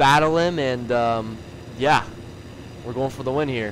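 A man talks in an excited, energetic tone at a fairly quick pace. There is noticeable background noise. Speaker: gaming YouTuber. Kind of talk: gameplay commentary.

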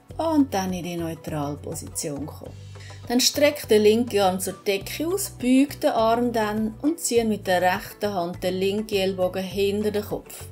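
Faint music plays behind a woman speaking fairly slowly at a medium pitch with lively intonation. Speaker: yoga teacher. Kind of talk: yoga class instruction. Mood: calm, soothing guidance. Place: gym. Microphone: camera far.

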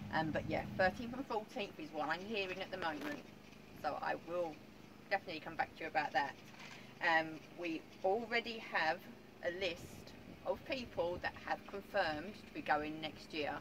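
A woman with a fairly low pitch speaks at a moderate pace, with long, frequent pauses. Noticeable background noise runs underneath. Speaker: vlogger. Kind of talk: casual vlog chat. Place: garden. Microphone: camera far.

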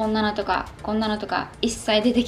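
Light background noise beneath a woman talking at a moderate pace. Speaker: fitness vlogger. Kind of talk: casual vlog chat. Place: home room.

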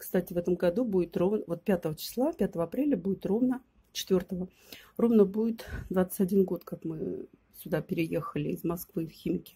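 Her dark, mellow voice is somewhat breathy, moving at a moderate pace with ordinary pitch variation and long, frequent pauses. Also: medium pitch for a woman. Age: 50s. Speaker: video blogger. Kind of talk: casual vlog chat.

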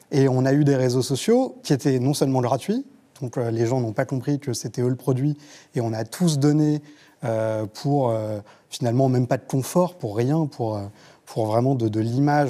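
A man's medium-pitched voice with a dark, mellow tone, fairly even intonation and a moderate pace against a quiet background. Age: 30s. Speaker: journalist; journalist panelist. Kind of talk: panel discussion. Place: studio. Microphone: lapel.

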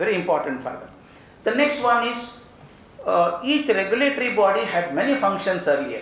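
In a room with audible echo, a man speaks at a moderate pace in an extremely high voice with lively intonation. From India. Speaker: education speaker. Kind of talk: lecture. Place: hall. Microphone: podium.

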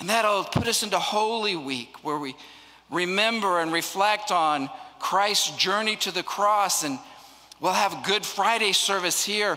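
A raised, projected voice with lively intonation at a fairly slow pace. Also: man. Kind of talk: welcome and announcements. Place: church. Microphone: handheld.

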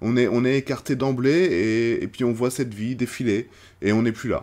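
A man's voice at a fairly slow pace. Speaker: film reviewer / YouTuber; film reviewer, YouTuber. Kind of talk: casual film review monologue. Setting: outdoors. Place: home room.

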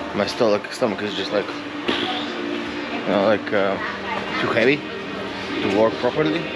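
Loud music plays in the background. Over it, a man speaks at a fairly slow pace. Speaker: travel vlogger. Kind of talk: casual vlog chat. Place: street. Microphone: phone near.

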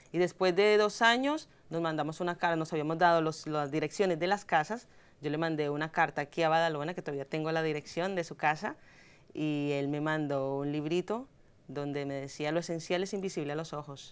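Speaking in a Bogotá accent, a woman uses a very deep, low pitch with ordinary variation and moves at a fairly quick pace. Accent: Bogotá Colombian Spanish. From Colombia, Bogotá. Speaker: journalist. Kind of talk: interview. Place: studio. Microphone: lapel.

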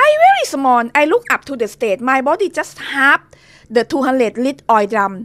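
The speaker uses lively intonation and a moderate pace in a Thai accent. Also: woman. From Thailand. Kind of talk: testimony. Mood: earnest, dramatic. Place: home room. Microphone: studio mic.

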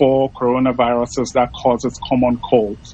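A man speaks fairly slowly, the sound dry with no echo at all. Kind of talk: interview answer. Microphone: video call.

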